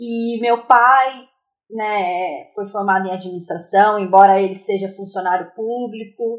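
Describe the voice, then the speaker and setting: Fairly slow speech from a woman with an unremarkable speaking voice and a medium pitch. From Brazil, interior of São Paulo state (Aparecida). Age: 30s. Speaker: psychology student. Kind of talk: interview. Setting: remote recording.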